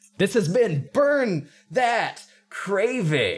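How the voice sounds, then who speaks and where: Putting on a character voice, this man pitches his speech high and lets it swing very widely up and down. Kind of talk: announcer-style sign-off.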